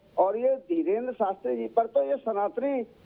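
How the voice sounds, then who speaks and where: This man speaks at an extremely high pitch. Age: 70s. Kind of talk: TV news panel debate.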